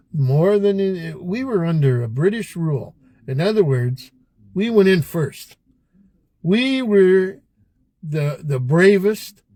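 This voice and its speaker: This voice has a dark, mellow tone and lively intonation, with a Canadian accent. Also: man. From Canada. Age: old. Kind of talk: podcast conversation.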